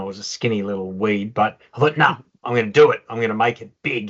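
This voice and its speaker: A man's fairly low voice at a very fast pace, with an Australian accent. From Melbourne, Australia. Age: 60s. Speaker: former professional footballer. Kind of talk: interview.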